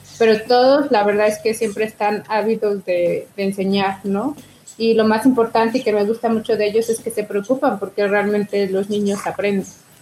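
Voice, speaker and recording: A woman speaks at a fairly high pitch. Noticeable background noise can be heard. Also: fairly even intonation, moderate pace. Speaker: museum coordinator. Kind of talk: interview.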